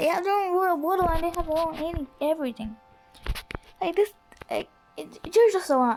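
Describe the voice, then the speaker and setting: The speech moves at a fairly quick pace with lively intonation and long, frequent pauses, with music playing in the background. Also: woman. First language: not English. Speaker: gaming youtuber. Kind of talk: gameplay commentary. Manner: halting; animated.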